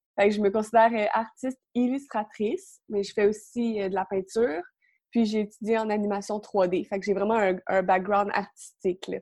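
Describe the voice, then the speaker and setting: Fairly even in intonation, the voice has a dark, mellow tone and a Quebec accent. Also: woman, medium pitch for a woman, moderate pace. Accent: Québécois French. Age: young. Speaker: illustrator. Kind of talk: interview.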